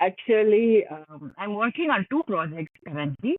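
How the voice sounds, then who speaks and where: Using a Tamil accent, a woman speaks at a fairly slow pace. Her medium pitch moves in very wide pitch swings. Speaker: author. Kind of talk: podcast interview. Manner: calm.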